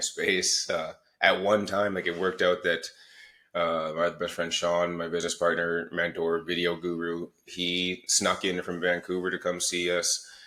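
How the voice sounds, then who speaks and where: A loud man talks at a moderate pace with a very deep, low pitch and a bright, sharp tone in a monotone, flat delivery. The recording is very clean, with a silent background. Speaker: podcast co-host. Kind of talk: casual chat. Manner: halting, repeats words.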